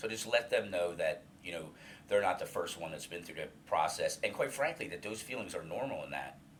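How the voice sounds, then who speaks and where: A man speaks at a fairly quick pace while noticeable background noise carries on. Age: 50s. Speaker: senior alumni coordinator in addiction recovery, former patient. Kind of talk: interview about personal recovery story. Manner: halting, many fillers and repetitions.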